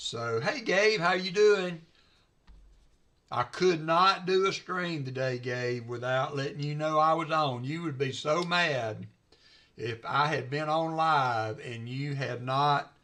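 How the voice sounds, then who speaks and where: A man with a Southern US accent, very slow pace, bright and sharp tone, ordinary pitch variation. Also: fairly high pitch for a man. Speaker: coin roll hunter and livestreamer. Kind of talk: casual livestream chat. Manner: hesitant, many fillers.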